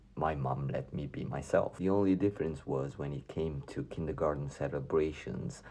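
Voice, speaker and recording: A man speaks with a very deep, low pitch, a dark, mellow tone, ordinary pitch variation and vocal fry. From Romania, Transylvania. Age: 40s. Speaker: YouTuber sharing personal story. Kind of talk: personal testimony.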